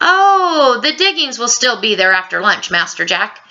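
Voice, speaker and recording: A woman uses a put-on character voice with a high pitch, very wide pitch swings and very even loudness. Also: moderate pace. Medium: read story. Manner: formal, polite.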